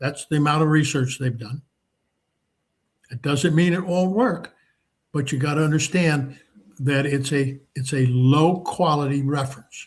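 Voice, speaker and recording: A man's fairly high voice comes out somewhat breathy. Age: 80s+. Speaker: market trading educator. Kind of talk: live market commentary seminar. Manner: relaxed, conversational with fillers.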